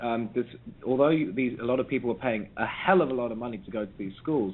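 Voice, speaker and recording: Very fast speech with an English accent amid noticeable background noise. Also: man, medium pitch for a man, ordinary pitch variation. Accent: posh English private-school. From South London, England. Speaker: pop musician. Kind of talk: interview.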